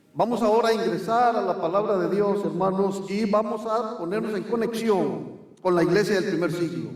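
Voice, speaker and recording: A man speaks in a high voice with hardly any pauses over noticeable background noise. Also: fairly even intonation, moderate pace. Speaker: visiting preacher. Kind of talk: sermon with interpreter. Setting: church.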